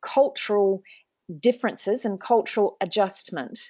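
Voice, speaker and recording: Here is a woman's voice. She speaks with a New Zealand accent. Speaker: organisational psychologist, webinar host. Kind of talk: webinar interview. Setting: online webinar, video call.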